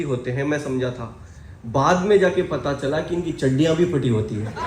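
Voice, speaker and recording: Audible room echo surrounds a man who sounds animated, his intonation lively. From Ballari, Karnataka, South India. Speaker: network marketing motivational speaker. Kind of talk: motivational seminar talk. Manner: animated, interactive with audience.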